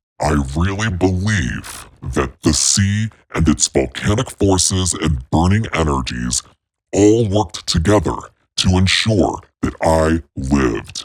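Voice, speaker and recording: A man speaks in a put-on character voice. His pitch is very deep and low, and his pace is fairly slow. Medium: solo performance. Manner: warm, chatty.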